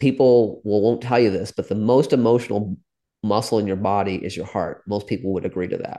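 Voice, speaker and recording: A man with a dark, mellow tone speaks over a quiet background. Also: fairly low pitch for a man. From US Midwest, small town; Indian immigrant family. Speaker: neuro-spiritual coach. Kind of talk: podcast interview. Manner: animated.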